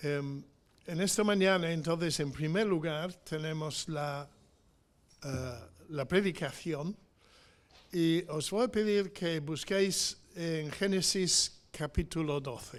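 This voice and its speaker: With an English accent, the speaker reads at a very slow pace with ordinary pitch variation. The recording is very clean, with a silent background. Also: man, high pitch for a man. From England. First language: English (speaking Spanish). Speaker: missionary preacher. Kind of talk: sermon. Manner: halting, many fillers.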